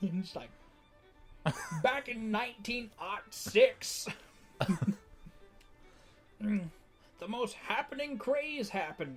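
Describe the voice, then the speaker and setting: A man's put-on character voice, high-pitched and very slow, with long, frequent pauses and clear music in the background. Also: lively intonation. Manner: rambling, crotchety.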